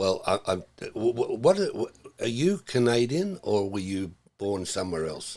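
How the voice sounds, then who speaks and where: Australian accent at a fairly slow pace, on a very clean recording with a silent background. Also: man. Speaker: educator and webcast host. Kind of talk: casual chat. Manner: animated.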